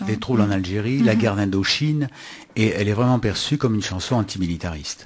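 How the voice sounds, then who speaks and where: A man speaks at a very fast pace in a fairly low voice. His loudness stays very even, and his pitch variation is ordinary. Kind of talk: radio co-host discussion.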